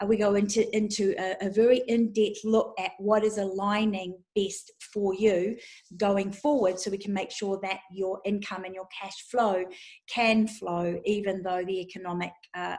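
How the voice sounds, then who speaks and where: At a moderate pace, a woman with a medium-pitched voice speaks in a monotone, flat intonation. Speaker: psychic business mentor. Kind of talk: sales pitch. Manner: hesitant fillers.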